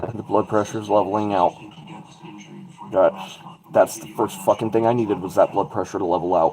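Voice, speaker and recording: A man with a fairly low pitch talks at a fairly quick pace, with fairly even intonation, big swings in loudness, long, frequent pauses and noticeable background noise. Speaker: livestream host. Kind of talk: casual livestream chat. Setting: livestream over wi-fi.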